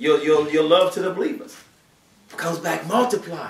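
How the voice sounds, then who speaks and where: Fairly quick, fairly high-pitched speech from a man, with audible room echo. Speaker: preacher. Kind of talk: Friday sermon (khutbah). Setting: mosque during Friday prayer. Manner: animated, conversational preaching with rhetorical questions; earnest, exhortative. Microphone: camera far.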